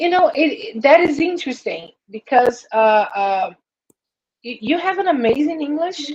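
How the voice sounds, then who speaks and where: A woman with a Brazilian accent speaks at a high pitch with very wide pitch swings. Her pauses are long and frequent. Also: moderate pace. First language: Portuguese. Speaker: English learner. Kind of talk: casual chat.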